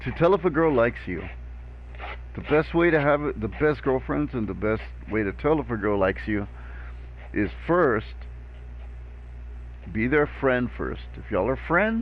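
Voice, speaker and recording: There is vocal fry in this man's fairly low voice, which has very wide pitch swings. His pace is moderate, broken by long, frequent pauses. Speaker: video game streamer. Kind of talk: live stream chat.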